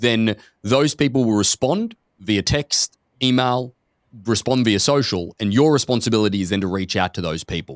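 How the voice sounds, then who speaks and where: Recorded very cleanly against a silent background, with a dry, close sound and no echo, a man speaks at a moderate pace with an Australian accent. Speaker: podcast host, company executive. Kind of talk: casual podcast conversation.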